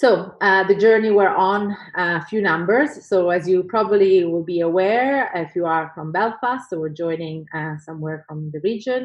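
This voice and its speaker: A woman speaks with an Italian accent. Her pitch is medium and her pace moderate. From Italy. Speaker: professor. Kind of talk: conference talk. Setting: video call.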